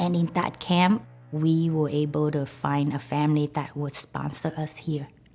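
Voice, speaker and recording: A woman's very deep, low voice at a fairly slow pace, fairly even intonation, and music in the background. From Vietnam. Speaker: accounts receivable employee. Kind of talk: interview testimony.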